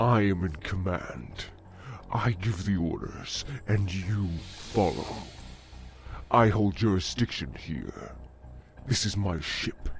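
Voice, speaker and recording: Using a put-on character voice, a man talks fairly slowly at a fairly low pitch, with long, frequent pauses. Clear background noise runs underneath. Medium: audio drama. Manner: fuming, commanding.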